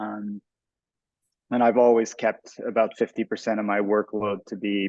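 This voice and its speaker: In a Quebec French accent, a man talks at a moderate pace with fairly low pitch and monotone, flat intonation. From Montreal, Quebec. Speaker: artist and photographer. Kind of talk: panel discussion.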